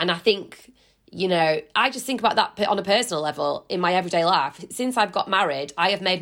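A woman with a Yorkshire accent speaks at a very fast pace with lively intonation. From West Yorkshire. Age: 30s. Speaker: journalist and broadcaster. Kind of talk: casual chat.

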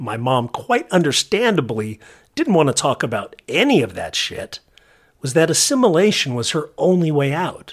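On a very clean recording with a silent background, a man with a Californian accent speaks at a moderate pace with very wide pitch swings. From southern California. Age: 50s. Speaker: podcast host. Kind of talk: scripted narration.

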